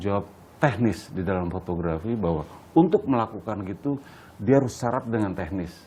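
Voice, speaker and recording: This man has a dark, mellow tone and a fairly low pitch. He talks at a fairly quick pace with lively intonation. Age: 60s. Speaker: photographer. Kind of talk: interview. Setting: at his home.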